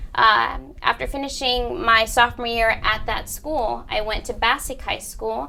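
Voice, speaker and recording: A woman with a Spanish accent, at a fairly slow pace. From Bridgeport, Connecticut. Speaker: college counselor. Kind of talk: interview.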